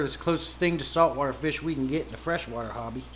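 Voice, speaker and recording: The speech comes at a very fast pace with an American accent and fairly even intonation. Audible room echo surrounds it. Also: man. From Pennsylvania, US. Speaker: aquarium hobbyist livestreamer. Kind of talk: casual livestream chat.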